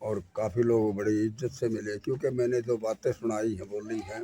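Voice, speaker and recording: The voice holds a fairly even intonation against noticeable background noise. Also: man. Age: 70s. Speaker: folk theatre performer and poet. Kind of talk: interview.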